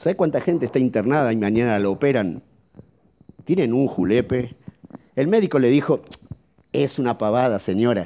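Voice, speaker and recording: Over light background noise, a man with a Rioplatense accent speaks at a moderate pace in a dark, mellow tone with lively intonation, very even loudness and long, frequent pauses. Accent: Argentine Rioplatense Spanish. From Argentina. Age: middle-aged. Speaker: psychologist; speaker. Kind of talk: seminar talk. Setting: auditorium with live audience. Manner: animated. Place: hall. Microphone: handheld.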